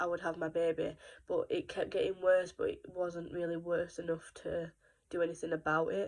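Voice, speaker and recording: Against a quiet background, a woman with a British accent talks at a moderate pace. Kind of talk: casual talk to camera.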